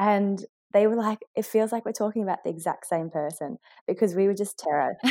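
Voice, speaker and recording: A woman with an Australian accent, medium pitch, a dark, mellow tone, ordinary pitch variation and a fairly quick pace, in a very clean recording with a silent background and a dry, close sound with no echo. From rural Victoria, Australia. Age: 30s. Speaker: airline pilot. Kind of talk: interview conversation.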